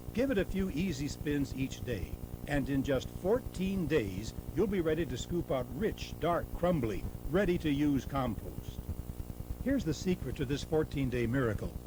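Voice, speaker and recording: A man speaks in an upbeat tone at a moderate pace. There is noticeable background noise. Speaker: narrator. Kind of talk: infomercial sales narration. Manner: upbeat, persuasive.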